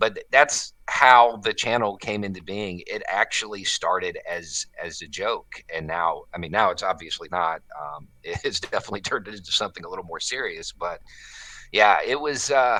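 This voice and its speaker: A man with an American accent speaks with big swings in loudness. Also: moderate pace. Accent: Southern US hillbilly accent, toned down. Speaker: YouTube commentator, former military contractor. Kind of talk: interview conversation. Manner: casual, halting with filler words.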